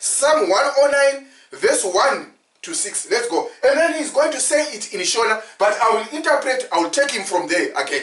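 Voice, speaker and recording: A man speaks with a Zimbabwean accent at a moderate pace. His pitch is extremely high. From Zimbabwe, Ndebele. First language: Ndebele. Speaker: preacher and commentator. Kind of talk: religious commentary with interpretation.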